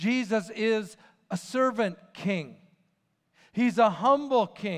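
Quiet background behind a man's voice. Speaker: preacher. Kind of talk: sermon. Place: church.

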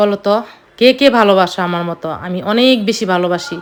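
A woman at medium pitch with ordinary pitch variation, a plain, everyday voice. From Bangladesh, village of Rasulpur. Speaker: family vlogger. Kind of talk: casual vlog narration. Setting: outdoors in home village.

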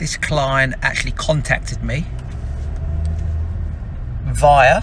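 Here a man speaks in a dry sound with no echo. Light background noise can be heard. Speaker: business owner vlogger. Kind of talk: casual vlog chat. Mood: relaxed, upbeat. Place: car. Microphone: phone near.

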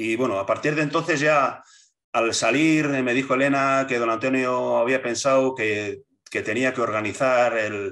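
Against a quiet background, the speaker goes at a moderate pace with fairly even intonation. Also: man, medium pitch for a man. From Basque Country, Spain. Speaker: political movement leader; interviewee. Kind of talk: interview. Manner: halting, many repetitions and fillers. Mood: reminiscing, calm storytelling. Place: home room. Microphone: video call.

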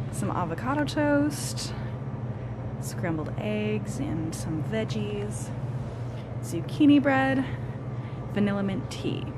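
Amid loud background noise, a woman speaks at a very slow pace with ordinary pitch variation and long, frequent pauses. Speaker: barista vlogger. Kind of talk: casual vlog chat. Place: cafe. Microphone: phone near.

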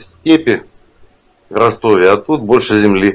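A man is speaking. His pace is very slow. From Yeysk, Krasnodar region, Russia. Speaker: caller. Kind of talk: casual chat. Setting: video call. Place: home room.

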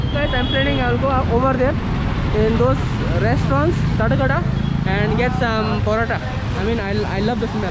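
With loud background noise and a dry sound that has no echo, a man speaks at a fairly quick pace. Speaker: travel vlogger. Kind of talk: casual vlog chat. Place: street. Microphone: phone near.

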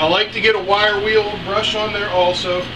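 Over clear background noise, a man speaks at a moderate pace and high pitch with little pitch movement.

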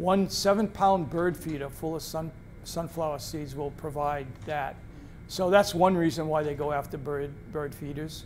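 With a New England accent, a man talks at a moderate pace in a fairly high voice. His intonation stays fairly even while faint music plays behind him. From central Massachusetts (Athol); Massachusetts. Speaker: retired naturalist and wildlife photographer; presenter. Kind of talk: public talk with slideshow; public talk with anecdotes. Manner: halting, frequent fillers. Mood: relaxed storytelling, friendly. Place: meeting room.

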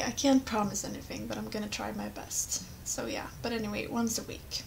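A woman with a Swedish accent at a moderate pace, noticeable background noise behind her. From Sweden. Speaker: gamer, let's play commentator. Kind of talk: casual gameplay commentary. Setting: webcam microphone, poor quality.

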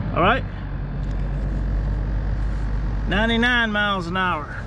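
Over noticeable background noise, a raised, projected voice speaks with fairly even intonation in a dry sound with no echo. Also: man. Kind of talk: casual show-and-tell commentary. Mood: proud, slightly defensive. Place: open country. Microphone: phone near.

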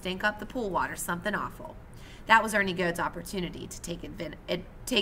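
This is plain reading aloud. The delivery stays plain reading aloud.

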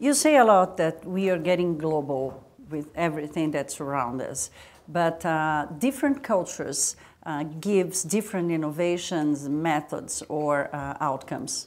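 Speaking at a fairly slow pace with a Portuguese accent, a woman has a very deep, low voice with ordinary pitch variation. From Brazil. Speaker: interviewer. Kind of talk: interview. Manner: halting. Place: studio. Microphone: lapel.

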